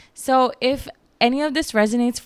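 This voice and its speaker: A woman with a slight Filipino accent and ordinary pitch variation. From Philippines, Baguio City. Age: 30s. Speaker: podcast host. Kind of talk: casual chat.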